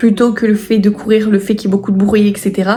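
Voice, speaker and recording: Very fast delivery in a monotone, flat intonation. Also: woman. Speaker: writing YouTuber and author. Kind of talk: casual vlog. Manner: hesitant with frequent fillers.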